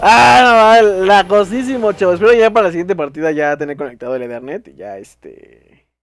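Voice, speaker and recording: This man talks with a Mexican accent at a moderate pace, barely pausing and sounding animated. His pitch sits high and swings very widely, while his loudness rises and falls sharply. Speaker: gaming youtuber. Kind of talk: gameplay commentary.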